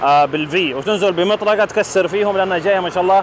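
A man speaks with a high pitch. Noticeable background noise is present. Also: dry sound with no echo. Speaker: car reviewer. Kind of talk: car review commentary. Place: street.

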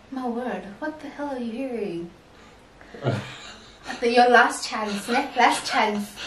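Amid audible room echo and light background noise, a woman speaks very slowly in a high pitch, with long, frequent pauses, ordinary pitch variation and big swings in loudness. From South Africa. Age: 20s. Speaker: couple channel host. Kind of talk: casual talk to camera. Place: home room. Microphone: camera far.

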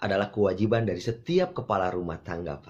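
A man speaks in a playful tone with a fairly low pitch. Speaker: insurance sales coach. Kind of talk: tutorial on hypnotic language patterns, with a sales-pitch demonstration. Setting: video channel, direct address to the camera. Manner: persuasive, teacherly and friendly, with a playful, humorous tone. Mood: friendly, upbeat. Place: home room.

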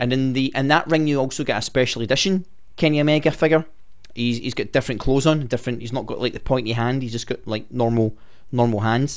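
A man at a very fast pace, quiet background. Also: ordinary pitch variation. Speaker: wrestling fan news host. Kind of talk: casual news commentary. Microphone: studio mic.

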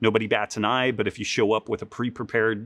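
A quiet background behind a man's voice. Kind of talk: interview answer. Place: gym. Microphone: lapel.

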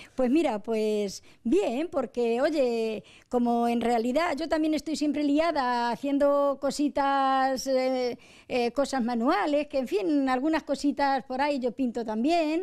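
A woman with a high pitch talks at a very slow pace against a quiet background. Her loudness stays very even and her pitch varies an ordinary amount. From Arenas de San Juan, Ciudad Real, Spain; Ciudad Real, Spain. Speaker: wife of the interviewee, amateur painter; interviewee. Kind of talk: interview. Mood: cheerful, warm. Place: home room. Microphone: handheld.

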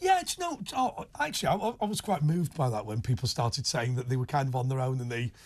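A man's somewhat breathy, very fast speech with lively intonation and hardly any pauses, over a quiet background. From northern England, Wigan area near Liverpool; northern England. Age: 40s. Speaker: radio and TV talk show host; radio, TV talk show host. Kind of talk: late night phone-in chat. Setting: studio, radio and TV simulcast. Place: studio.

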